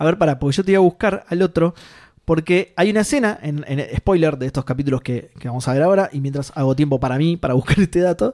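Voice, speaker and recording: A man's very fast speech in a Rioplatense accent, fairly high in pitch with ordinary variation, dark and mellow in tone, dry and close with no echo. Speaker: podcast co-host. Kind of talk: casual chat.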